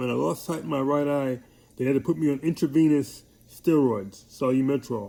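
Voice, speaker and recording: A man's fairly high, dark, mellow voice at a moderate pace, with a New York accent. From New York (Hollis, Queens). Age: 60s. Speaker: military veteran with MS. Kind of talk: personal video message.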